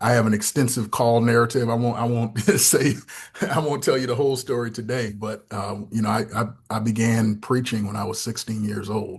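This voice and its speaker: Male speech with an American accent, fairly quick and monotone, with flat intonation and music in the background. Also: medium pitch for a man. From US Northeast, Syracuse, New York. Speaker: pastor and theology fellow. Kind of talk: podcast interview. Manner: halting, many repetitions.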